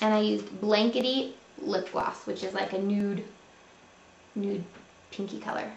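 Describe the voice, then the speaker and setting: A moderate pace amid light background noise and audible room echo. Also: woman. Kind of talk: tutorial. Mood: friendly, upbeat. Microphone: webcam.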